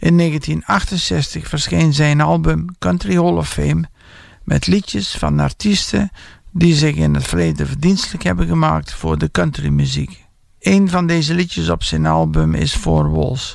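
A man talks at a moderate pace with a Dutch accent. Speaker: radio presenter of a Jim Reeves tribute show. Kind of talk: radio DJ patter, introducing tracks and album sides in Dutch.

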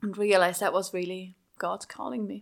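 A woman speaks at a medium pitch with a Swiss German accent on a very clean recording with a silent background. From Switzerland (Schaffhausen). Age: young. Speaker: pastor. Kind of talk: interview.

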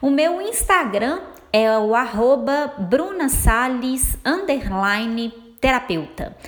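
In a Minas Gerais accent, this speaker talks at a very slow pace with long, frequent pauses and very wide pitch swings. The recording has audible room echo and noticeable background noise. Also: woman, high pitch for a woman. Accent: mineiro Brazilian Portuguese. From Minas Gerais, Brazil. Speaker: therapist and web radio host. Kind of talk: radio talk monologue. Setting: web radio studio.

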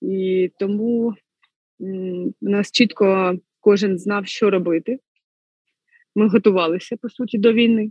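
In a dry, close recording with no echo, a woman speaks at a medium pitch and a fairly slow pace, her intonation fairly even and her speech marked by long, frequent pauses. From central Ukraine, Kirovohrad region. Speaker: lawyer turned soldier. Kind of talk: interview.

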